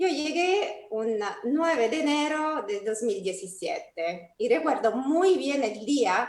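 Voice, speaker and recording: The speech comes at a very slow pace with very wide pitch swings. Audible room echo hangs on the voice. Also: woman. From Italy. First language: Italian (speaking Spanish). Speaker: energy company executive. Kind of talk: opening speech. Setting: online panel event.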